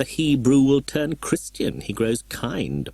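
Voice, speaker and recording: A man talks at a fairly slow pace. He uses a put-on character voice. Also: medium pitch for a man. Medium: read story. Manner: contemptuous, self-assured.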